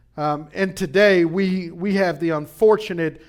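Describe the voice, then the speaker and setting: Pitched high, a man talks with ordinary variation in his pitch. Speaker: pastor. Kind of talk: sermon. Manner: animated.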